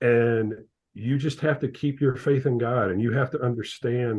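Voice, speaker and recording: A man uses a plain, everyday voice with an American accent and medium pitch. He keeps a moderate pace and fairly even intonation. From Ohio, US Midwest. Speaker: accountant and father of athlete. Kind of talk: interview.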